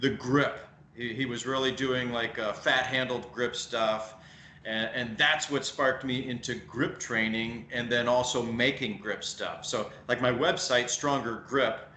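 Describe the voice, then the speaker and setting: A man with a Midwestern American accent speaks at a medium pitch and a fairly slow pace in a monotone, flat intonation, with audible room echo and noticeable background noise. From US Midwest. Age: 40s. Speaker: strength equipment maker. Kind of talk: podcast interview.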